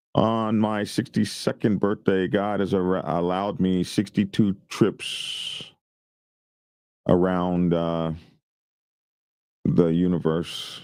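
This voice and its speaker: In a very clean recording with a silent background, a man speaks very slowly with an American accent and a very deep, low pitch. His intonation is fairly even, and his pauses are long and frequent. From US South. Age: 60s. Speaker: YouTube biker news host. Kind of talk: casual livestream chat.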